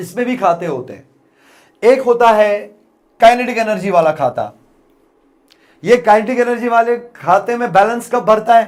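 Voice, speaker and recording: This man has a high voice and an animated tone, speaking at a fairly slow pace. His loudness swings widely, and he takes long, frequent pauses. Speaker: physics teacher. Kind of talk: lecture.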